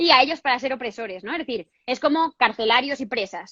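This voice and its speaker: An animated woman's voice, high-pitched and bright, sharp in tone, at a fairly quick pace with ordinary pitch variation, dry and close with no echo, against a quiet background. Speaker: feminist activist interviewee. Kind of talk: interview on feminist theory. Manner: fast.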